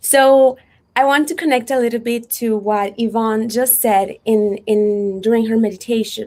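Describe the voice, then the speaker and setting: Speaking with a Spanish accent, a woman talks at a fairly slow pace in a fairly high pitch with fairly even intonation. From Mexico. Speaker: unschooling advocate and photographer. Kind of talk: workshop talk. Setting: virtual event.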